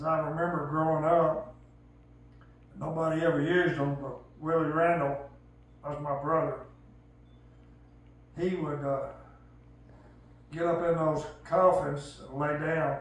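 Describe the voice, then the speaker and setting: A man speaks at a fairly slow pace in a rural Southern US accent, his intonation monotone and flat. Long, frequent pauses break up his speech, and room echo is audible. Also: fairly high pitch for a man. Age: 70s. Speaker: elderly storyteller. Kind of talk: casual storytelling.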